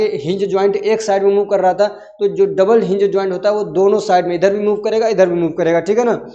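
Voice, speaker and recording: A man with a high pitch talks at a fairly quick pace in a flat monotone. There is audible room echo. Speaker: teacher. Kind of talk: lecture. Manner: conversational with frequent fillers.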